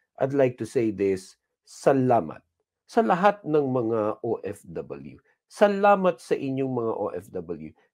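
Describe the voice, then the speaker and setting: A man talks with very wide swings in pitch. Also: quiet background. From Philippines. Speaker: pastor. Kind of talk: sermon. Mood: warm, grateful, encouraging. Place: studio. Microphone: lapel.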